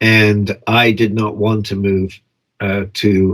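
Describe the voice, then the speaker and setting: A man talks in a monotone, his intonation flat throughout. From Europe and England (international upbringing). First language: Italian. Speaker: documentary filmmaker. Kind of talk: interview. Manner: hesitant, many fillers.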